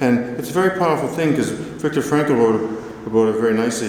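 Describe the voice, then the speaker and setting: A man talks at a fairly quick pace and a medium pitch. Noticeable background noise and audible room echo fill the recording. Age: 50s. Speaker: motivational speaker with Parkinson's. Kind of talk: conference talk. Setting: stage with audience.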